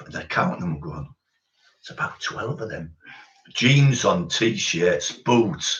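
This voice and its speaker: Speaking in a Teesside accent at a fairly slow pace, a man's pitch swings very widely. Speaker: former doorman telling stories. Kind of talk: casual storytelling chat.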